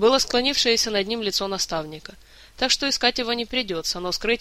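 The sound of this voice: The voice is an unforced reading voice with ordinary pitch variation.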